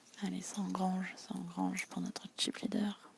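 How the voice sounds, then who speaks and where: Over noticeable background noise, someone soft-spoken talks at a fairly slow pace. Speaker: poker live commentator. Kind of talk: live commentary. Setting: quiet tournament hall.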